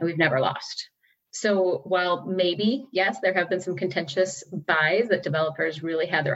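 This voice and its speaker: At a fairly quick pace, a normal speaking voice carries ordinary pitch variation. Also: woman. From US Midwest, Batavia, Illinois. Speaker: city council member. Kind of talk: interview.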